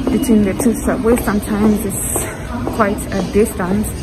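A woman's voice with music in the background. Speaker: vlogger. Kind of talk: casual vlog chat. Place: station. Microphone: phone near.

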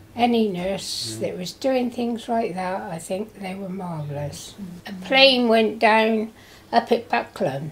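Light background noise sits behind a woman with a fairly high pitch. She speaks at a very slow pace with lively intonation. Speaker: care home resident. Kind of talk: personal wartime reminiscence.

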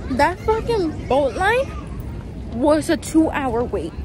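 With crowd noise in the background, a woman speaks at a fairly slow pace, and the sound is dry with no echo. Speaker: travel vlogger. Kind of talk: casual vlog chat. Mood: frustrated, annoyed. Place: street. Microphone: phone near.

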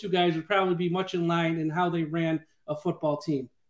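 A man is speaking. The background is quiet, but room echo is audible. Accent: American. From Syracuse, New York. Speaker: podcast host. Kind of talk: interview. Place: home room. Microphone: video call.

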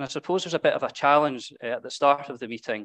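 This man has a normal speaking voice, fairly high in pitch and fairly quick. The background is quiet. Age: 30s. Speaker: preacher. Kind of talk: sermon. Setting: church. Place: church.

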